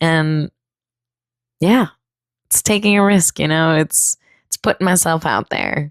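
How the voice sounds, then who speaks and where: A woman with an American accent, fairly low pitch, ordinary pitch variation, fairly slow pace, and long, frequent pauses, in a dry, close sound with no echo. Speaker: podcast host, endurance runner. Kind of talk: casual solo podcast monologue. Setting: home room.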